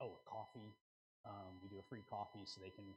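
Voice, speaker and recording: This man's voice sits at a fairly low pitch and comes across somewhat breathy. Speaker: conference seminar presenter, local marketing speaker. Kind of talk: conference seminar presentation to an audience. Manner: casual, conversational, enthusiastic.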